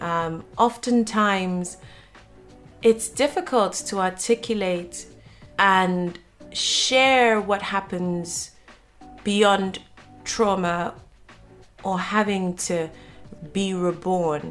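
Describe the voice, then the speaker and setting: Music plays in the background as a woman speaks at a very slow pace. Her intonation is fairly even, with long, frequent pauses. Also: medium pitch for a woman. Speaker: podcast host. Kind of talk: podcast intro and interview questions.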